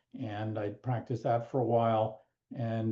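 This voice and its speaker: Over a quiet background, a man speaks at a fairly quick pace in a dark, mellow tone, somewhat breathy and medium in pitch. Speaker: law professor emeritus and mediator. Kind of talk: webinar presentation.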